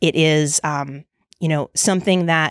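A woman with an American accent and very deep, low pitch talks at a moderate pace, recorded dry and close with no echo on a very clean, silent background. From Brooklyn, New York. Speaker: accessibility technology architect. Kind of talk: interview. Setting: tech conference.

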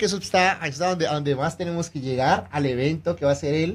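Here is an unremarkable speaking voice from a man with a fairly high pitch. He talks at a fairly quick pace with ordinary pitch variation. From Colombia. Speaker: real estate agent and radio co-host. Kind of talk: radio interview.

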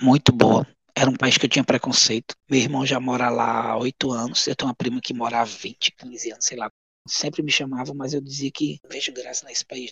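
A man with a plain, everyday voice speaks at a fairly quick pace and medium pitch, his intonation fairly even. The sound is dry and close, with no echo. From Goiás, Brazil. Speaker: elderly caregiver and former social project founder. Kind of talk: interview.

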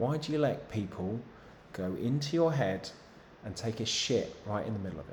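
A man with an English accent speaks at medium pitch and a moderate pace in a somewhat breathy, animated tone, with lively intonation, big swings in loudness and audible room echo. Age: 30s. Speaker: fitness coach. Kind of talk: live Q&A stream.

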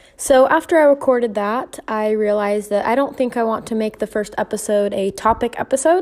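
Over noticeable background noise, a woman with a fairly high pitch talks at a fairly quick pace, barely pausing. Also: ordinary pitch variation. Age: 20s. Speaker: podcast host and hairstylist. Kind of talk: casual monologue.

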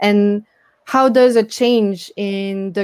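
A woman with a French accent at medium pitch, ordinary pitch variation, and a dry, close sound with no echo. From France. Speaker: tech startup founder. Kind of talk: interview. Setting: video call.

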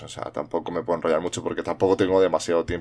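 A man speaks against a quiet background. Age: 40s. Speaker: podcast host. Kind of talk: solo monologue podcast. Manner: halting, many fillers and repetitions.

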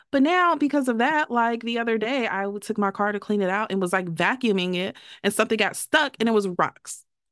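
On a very clean recording with a silent background, a woman with an ordinary speaking voice talks at a fairly quick pace, fairly high in pitch, with lively intonation. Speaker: podcast co-host. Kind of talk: casual chat.

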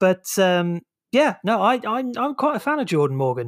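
A man speaks with a high pitch on a very clean recording with a silent background. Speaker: podcast host. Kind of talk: casual chat.

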